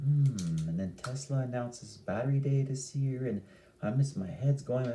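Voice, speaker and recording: A man with a medium pitch and a dark, mellow tone sounds somewhat breathy as he talks at a moderate pace. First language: Italian. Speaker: stock market youtuber. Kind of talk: casual vlog commentary. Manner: animated.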